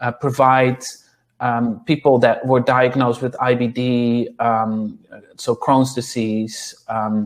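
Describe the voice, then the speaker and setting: Speaking very slowly in a flat monotone, a man with a Dutch accent holds a medium pitch. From Netherlands. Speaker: clinical nutritionist and yoga teacher. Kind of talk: interview. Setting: podcast. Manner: halting, many fillers.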